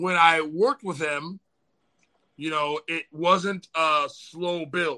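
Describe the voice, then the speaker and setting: A loud man's voice, fairly high in pitch and bright and sharp in tone, at a very slow pace with a dry, close sound and no echo. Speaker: spiritual practitioner guest. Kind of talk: casual livestream chat. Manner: animated.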